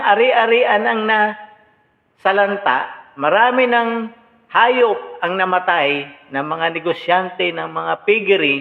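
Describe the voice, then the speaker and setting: With very wide pitch swings, a man speaks in a high voice. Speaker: political commentator. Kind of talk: reaction commentary. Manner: animated.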